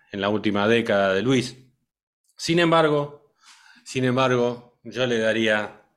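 A man at medium pitch and a very slow pace, with ordinary pitch variation. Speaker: radio show host, music school co-founder. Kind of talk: casual chat.

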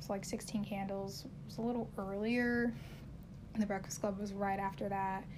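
A somewhat breathy, monotone delivery with flat intonation and audible room echo. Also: woman, medium pitch for a woman, moderate pace. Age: 20s. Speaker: solo podcast host. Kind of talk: casual monologue.

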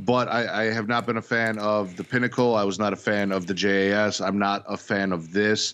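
A man's ordinary speaking voice, fairly low in pitch, at a fairly quick pace with fairly even intonation and hardly any pauses. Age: 30s. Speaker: podcast host, wrestling fan. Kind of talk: casual chat.

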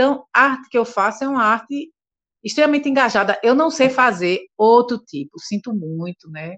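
A woman with a fairly high pitch makes very wide pitch swings and big swings in loudness, recorded dry and close with no echo. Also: moderate pace. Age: 60s. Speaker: singer. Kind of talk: interview.

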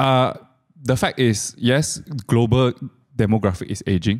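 On a very clean recording with a silent background, a man with a Malaysian accent speaks with ordinary pitch variation. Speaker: finance live stream co-host. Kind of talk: casual chat. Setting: live stream studio.

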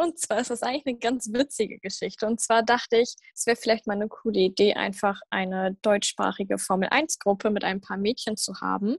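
A woman with a plain, everyday voice speaks at a fairly quick pace with hardly any pauses, fairly high pitch, and ordinary pitch variation, all in a dry, close sound with no echo. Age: young. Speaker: podcast host. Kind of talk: casual chat.

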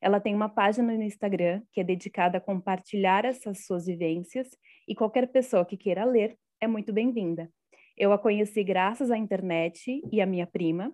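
Her pitch sits in the medium range with ordinary variation as the woman, in an ordinary speaking voice, keeps a moderate pace. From Brazil, Guarulhos (São Paulo). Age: 30s. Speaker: podcast host. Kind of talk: casual chat. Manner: scripted intro.

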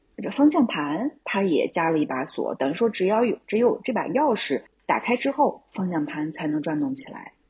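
At a moderate pace and with hardly any pauses, a woman speaks at a fairly high pitch, somewhat breathy, with very wide pitch swings. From Xi'an, China. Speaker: camper van travel enthusiast, German teacher. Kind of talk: casual interview.

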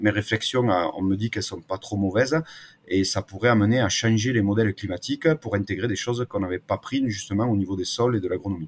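Somewhat breathy and fairly low in pitch, a man speaks at a fairly quick pace in a southern French accent, with a dry, close sound and no echo. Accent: singsong southern French. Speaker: agroclimatologist. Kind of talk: interview.

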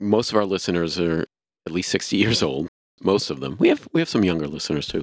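Speaking very fast with an American accent, a man with a very deep, low voice and vocal fry shows ordinary pitch variation, the sound dry and close with no echo. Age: 60s. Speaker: podcast host. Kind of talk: casual chat.

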